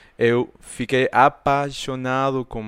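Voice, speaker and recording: A man speaks very slowly with an Argentine accent. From Argentina. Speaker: podcast co-host. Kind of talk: casual chat.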